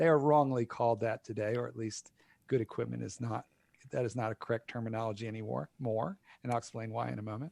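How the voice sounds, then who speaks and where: The man speaks at a very fast pace with ordinary pitch variation, in a dry, close sound with no echo. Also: medium pitch for a man. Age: 60s. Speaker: dog trainer and author. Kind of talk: casual chat.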